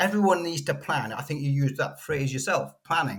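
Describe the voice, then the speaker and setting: A man with a British accent, a fairly high pitch and lively intonation. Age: 60s. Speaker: financial coach. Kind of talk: podcast interview.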